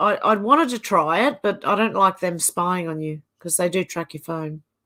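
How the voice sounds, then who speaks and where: The voice carries an Australian accent. Its tone is bright and sharp, and the intonation is lively. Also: woman. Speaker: livestream host reading viewer comments. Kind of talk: casual live chat reading comments. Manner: slow.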